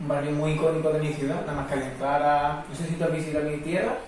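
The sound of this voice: Amid audible room echo, a man talks fast at a fairly high pitch with little pitch movement.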